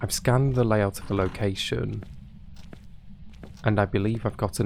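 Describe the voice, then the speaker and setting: Quiet and at a moderate pace, a man speaks with vocal fry in a fairly low pitch that shows ordinary variation. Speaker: gaming YouTuber. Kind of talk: calm gameplay commentary. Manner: quiet hushed tone; calm, relaxed.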